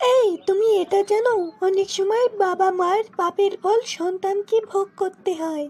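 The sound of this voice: In a cartoonish character voice, a female-sounding speaker talks at a fairly slow pace with an extremely high pitch for a woman.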